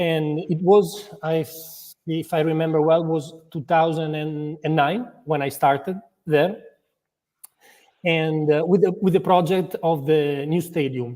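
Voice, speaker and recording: Speaking with an Italian accent, a man uses a fairly high pitch and a dark, mellow tone, moving at a very slow pace with fairly even intonation. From Italy, Modena. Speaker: football club executive. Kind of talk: interview. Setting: live video interview. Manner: halting, many repetitions and fillers.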